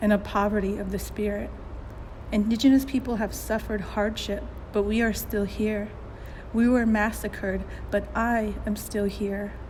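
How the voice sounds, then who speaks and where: A woman keeps a moderate pace, and audible room echo follows her words. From New Mexico, Navajo (Diné) heritage. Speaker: digital storyteller. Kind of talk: personal narrative, scripted reading.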